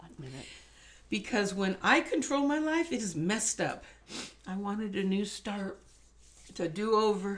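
At a moderate pace and a medium pitch, a woman speaks somewhat breathily, with long, frequent pauses, very wide pitch swings and big swings in loudness. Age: 60s. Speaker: guest sharing faith story. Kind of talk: testimony.

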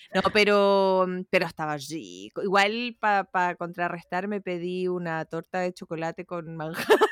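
A woman with a Chilean accent talks at a fairly slow pace with hardly any pauses, her medium pitch carried on fairly even intonation, in a dry, close sound with no echo and a very clean recording against a silent background. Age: 30s. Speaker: podcast co-host. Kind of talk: casual chat.

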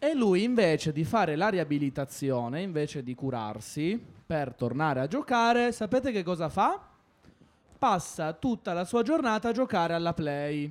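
A man speaks in a high pitch with very wide pitch swings, keeping a moderate pace. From Argentina. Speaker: radio host for children's sports show. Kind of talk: casual radio chat with children. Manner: animated.

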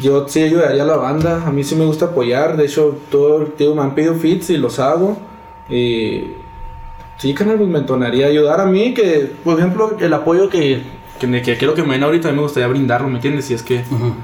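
Amid noticeable background noise and audible room echo, a man with a fairly high pitch speaks at a fairly quick pace with ordinary pitch variation. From Mexico, Chihuahua city. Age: 20s. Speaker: rapper. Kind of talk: casual interview chat. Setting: video recording.

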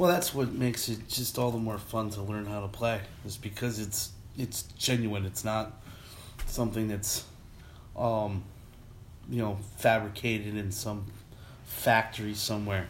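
The man's voice is fairly low in pitch and somewhat breathy, with fairly even intonation. He keeps a moderate pace with long, frequent pauses. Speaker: podcast host. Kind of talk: casual chat. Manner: filler-heavy, halting.

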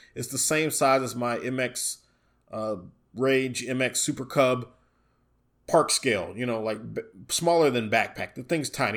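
Recorded very cleanly against a silent background, a man with a medium pitch talks at a moderate pace in an animated tone with ordinary pitch variation. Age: 40s. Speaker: hobbyist vlogger. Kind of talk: casual monologue.

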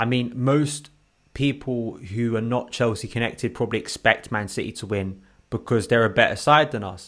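On a very clean recording with a silent background, a man talks in an ordinary speaking voice at medium pitch, with ordinary pitch variation and a moderate pace. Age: 20s. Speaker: football podcast co-host. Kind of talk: casual chat.

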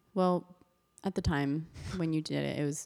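In an American accent, a woman with a fairly low pitch speaks at a moderate pace. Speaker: podcast host. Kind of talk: casual chat.

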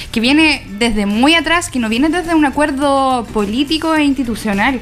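There is noticeable background noise as a woman speaks in a high voice with ordinary pitch variation. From Chile, Coyhaique (Aysén). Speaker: feminist activist. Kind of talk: radio panel discussion.

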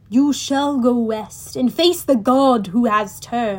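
In a put-on character voice, a woman sounds raspy with a high pitch. She speaks at a fairly slow pace with ordinary pitch variation.

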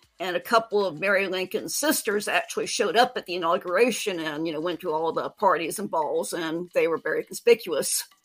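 Music plays in the background. A woman with an American accent speaks with ordinary pitch variation. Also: hardly any pauses. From Washington, D.C. area. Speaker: historical fiction author. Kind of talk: interview.

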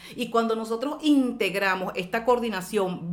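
Noticeable background noise surrounds this speaker. A woman with a fairly high pitch talks in an animated tone. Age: 50s. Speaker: brain gym trainer and speaker. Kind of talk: radio interview; guided exercise instruction.

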